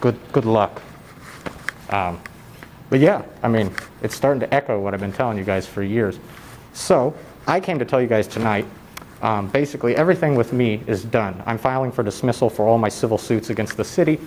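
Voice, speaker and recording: Through noticeable background noise, a man speaks at a fairly quick pace and medium pitch, with ordinary pitch variation and long, frequent pauses. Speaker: public commenter and YouTube channel owner. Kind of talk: public comment at council meeting. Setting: council meeting hall. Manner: too quiet at first.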